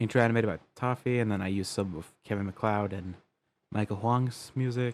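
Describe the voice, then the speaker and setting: A man with a fairly low voice speaks at a fairly quick pace and fairly even intonation. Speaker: animated series creator reacting to own episode. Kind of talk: casual reaction commentary. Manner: halting, stumbling over words; casual with swearing.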